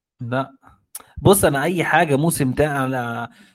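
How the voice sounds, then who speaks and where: A man with a rather high voice and ordinary pitch variation talks at a somewhat unhurried pace. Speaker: anime fan guest. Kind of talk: casual chat.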